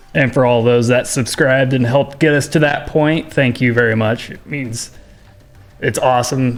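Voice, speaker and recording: Music plays in the background as a man at medium pitch talks at a fairly quick pace with fairly even intonation. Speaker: esports stream producer and commentator. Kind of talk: casual chat. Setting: streaming studio. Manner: loud.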